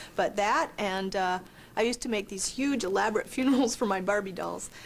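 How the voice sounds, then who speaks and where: In an American accent, a woman is talking. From Southern California. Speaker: horror author. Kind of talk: interview. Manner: casual, slangy.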